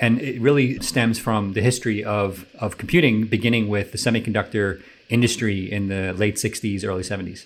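With a plain, everyday voice, a man speaks at a moderate pace and fairly low pitch, with fairly even intonation and hardly any pauses. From New York City area. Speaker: tech company founder and CEO. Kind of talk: radio interview. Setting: radio studio.

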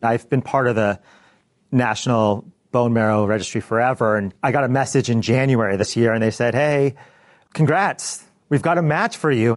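Against a quiet background, a man with an ordinary speaking voice talks at a moderate pace with ordinary pitch variation and very even loudness. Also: medium pitch for a man. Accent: American. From US Pacific Northwest, Bellevue, Washington. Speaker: accountant. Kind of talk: interview. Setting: office in front of a live team.

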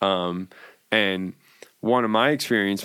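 The man has an unremarkable speaking voice, a fairly low pitch, and ordinary pitch variation, with an American accent. The recording is very clean with a silent background. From New York. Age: 40s. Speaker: cannabis entrepreneur. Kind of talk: casual chat.

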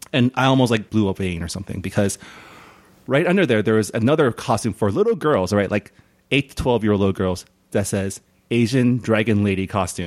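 A man speaks at a fairly quick pace in a fairly low voice with ordinary pitch variation. The sound is dry and close, with no echo. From California, San Gabriel. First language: non-English home language. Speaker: podcast host. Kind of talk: casual chat.

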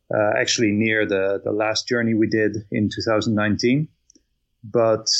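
In a Dutch accent, a man speaks at a fairly low pitch. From Netherlands. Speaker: bicycle traveler. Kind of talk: casual interview.

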